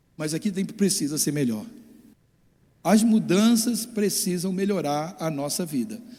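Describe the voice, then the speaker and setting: Pausing long and often, a man with a high pitch and a dark, mellow tone speaks with lively intonation amid audible room echo. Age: 60s. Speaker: pastor. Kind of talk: sermon. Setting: church. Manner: halting.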